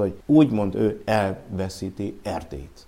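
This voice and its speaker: A man with a dark, mellow tone. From Transylvania, Romania. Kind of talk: interview.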